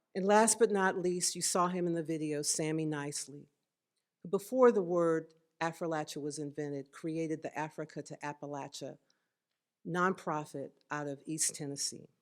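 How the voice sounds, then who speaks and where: Her pitch is very deep and low for a woman, and her loudness swings widely at a moderate pace. The recording is very clean, with a silent background. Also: ordinary pitch variation. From northeast Georgia, Appalachian foothills (Toccoa). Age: 60s. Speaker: artist, award recipient. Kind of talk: acceptance speech; reading aloud from own essay. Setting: museum event with audience.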